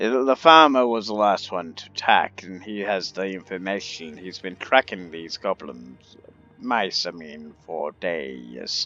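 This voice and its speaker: Using a put-on character voice, a man speaks quietly at a fairly slow pace with a very deep, low pitch. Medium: actual play. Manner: hushed, conspiratorial.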